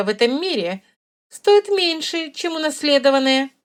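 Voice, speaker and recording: A woman's high-pitched, put-on character voice at a moderate pace, with very wide pitch swings. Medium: read story. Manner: dry, ironic.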